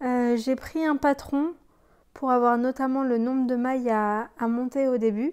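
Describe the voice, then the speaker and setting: A woman speaks at a high pitch with fairly even intonation. Her pace is fairly slow. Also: very even loudness. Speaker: knitting podcaster. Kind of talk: casual chat. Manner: hesitant, many fillers.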